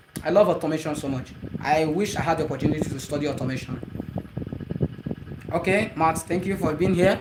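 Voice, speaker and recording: A man rattles along at a very fast pace, his intonation lively, with noticeable background noise behind him. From Nigeria. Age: 30s. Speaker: movie creator streaming live. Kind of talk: live stream chat.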